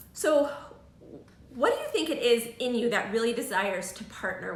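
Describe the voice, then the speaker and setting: Noticeable background noise sits behind a voice with ordinary pitch variation, moving at a moderate pace. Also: woman. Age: 40s. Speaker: live show host. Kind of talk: casual interview chat. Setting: live video stream.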